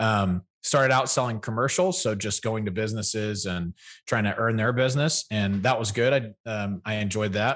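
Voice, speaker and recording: A man talks at a moderate pace in a fairly low pitch, a normal speaking voice with ordinary pitch variation. The background is quiet. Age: 30s. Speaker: podcast co-host. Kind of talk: casual chat.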